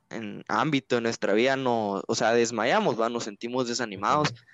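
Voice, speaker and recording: This man's voice sits in a middle range. The melody of his speech stays fairly flat. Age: 20s. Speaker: engineering student and youth church leader. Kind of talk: interview. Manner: hesitant, many fillers.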